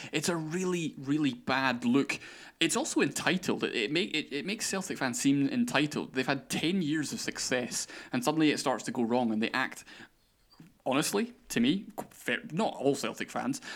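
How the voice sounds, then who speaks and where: A man speaks with very wide pitch swings on a very clean recording with a silent background. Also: fairly high pitch for a man, moderate pace. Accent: Scottish. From Scotland. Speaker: podcast host. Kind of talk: casual chat. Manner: talkative.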